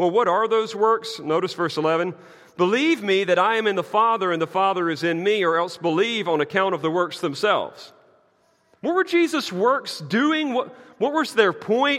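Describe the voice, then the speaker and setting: A man with a Southern US accent and a high pitch talks at a moderate pace with lively intonation. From US South. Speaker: pastor. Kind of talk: sermon.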